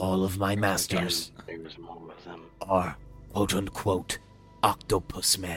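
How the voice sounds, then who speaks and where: A man in a put-on character voice speaks with a raspy, very deep, low pitch in a monotone, flat intonation at a fairly slow pace with long, frequent pauses, clear music playing in the background. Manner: terse, broken telepathic speech.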